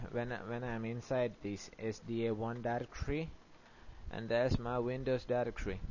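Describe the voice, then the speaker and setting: A man at medium pitch, with a non-native accent and a moderate pace. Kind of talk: software tutorial narration. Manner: hesitant, many fillers.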